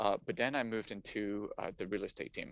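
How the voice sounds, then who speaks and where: This is a man speaking with a French accent. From France, Paris. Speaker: climate technology investor. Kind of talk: interview, casual chat. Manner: halting, many fillers.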